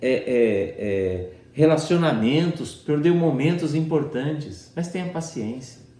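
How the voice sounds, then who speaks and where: A man with a fairly high pitch and a dark, mellow tone talks at a fairly slow pace, his pitch swinging very widely, with audible room echo around him. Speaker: pastor. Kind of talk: sermon. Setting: online church service.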